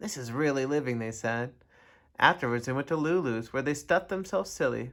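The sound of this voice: What you hear is an unforced reading voice.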